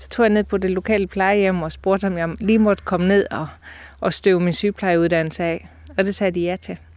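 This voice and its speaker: In a very clean recording with a silent background, the voice moves at a fairly quick pace in a monotone, flat intonation with big swings in loudness. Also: woman, medium pitch for a woman. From Denmark, Aarhus. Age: 50s. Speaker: nurse and embroidery artist. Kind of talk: casual interview. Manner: hesitant with fillers.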